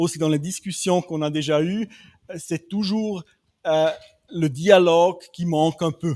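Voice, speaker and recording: This man speaks at a very slow pace in a high voice. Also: very clean recording, silent background. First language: not French (speaking French). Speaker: development bank specialist. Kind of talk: panel discussion. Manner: halting, many hesitations.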